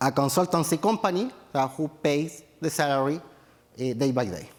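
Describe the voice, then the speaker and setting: The speaker is a man with a Chilean accent, talking at a fairly slow pace. Noticeable background noise comes through. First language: Spanish. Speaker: tech entrepreneur. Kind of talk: conference talk. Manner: halting, many fillers.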